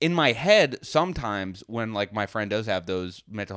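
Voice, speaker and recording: A man speaks at a moderate pace with lively intonation. It is an ordinary speaking voice. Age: 20s. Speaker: comedian and podcast co-host. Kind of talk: casual chat.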